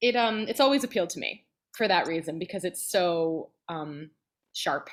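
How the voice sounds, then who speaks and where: A woman talks at a moderate pace with a medium pitch. Her tone is animated and her intonation lively. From New Jersey, then Phoenix from age 14. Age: 30s. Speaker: soprano singer and voice teacher. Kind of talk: casual interview chat.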